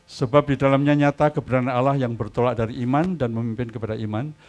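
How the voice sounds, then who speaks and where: A very fast-talking man with ordinary pitch variation. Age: 70s. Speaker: pastor. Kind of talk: sermon.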